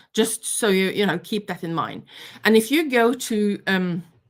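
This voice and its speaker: At a medium pitch, a woman talks at a fairly slow pace with ordinary pitch variation and a Norwegian accent. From Norway. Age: 50s. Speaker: knitting teacher. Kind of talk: online workshop lecture. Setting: live stream. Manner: hesitant, many fillers.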